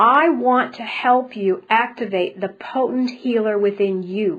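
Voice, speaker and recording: A woman with an ordinary speaking voice talks in a fairly high pitch with ordinary pitch variation. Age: 60s. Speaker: spiritual healer and speaker. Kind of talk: webinar presentation.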